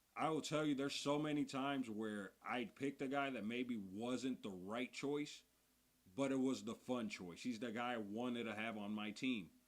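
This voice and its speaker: A man speaks at a moderate pace. His pitch is medium, with ordinary variation. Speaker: fantasy basketball youtuber. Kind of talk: livestream Q&A. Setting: livestream. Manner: loud.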